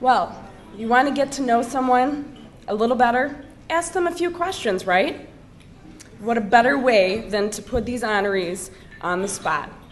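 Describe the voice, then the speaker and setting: The room echo is audible as a woman speaks at a moderate pace. Her pitch is high and her intonation lively. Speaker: event emcee. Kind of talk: event announcement. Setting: dinner event.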